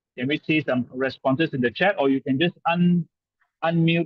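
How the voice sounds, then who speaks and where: Talking at a moderate pace, a man uses ordinary pitch variation. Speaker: sales trainer. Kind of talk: webinar presentation. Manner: animated.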